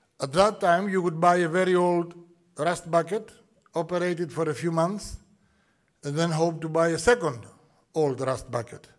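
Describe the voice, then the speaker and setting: Against a quiet background, a man with a Greek accent talks at a moderate pace in a high voice, using ordinary pitch variation and long, frequent pauses. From Greece. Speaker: shipping executive. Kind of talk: welcome address. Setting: conference hall with audience. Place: hall. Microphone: podium.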